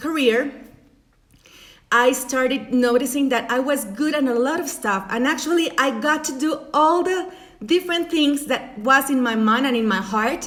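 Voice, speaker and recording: Speaking with a Spanish accent, a woman uses a high pitch, ordinary pitch variation, and a fairly slow pace. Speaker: life coach. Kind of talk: motivational talk. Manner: halting.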